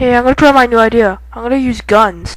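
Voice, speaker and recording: A female-sounding, cartoonish character voice races at a very fast pace with a fairly high pitch. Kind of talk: comic overacting. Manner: gloating, cartoonish.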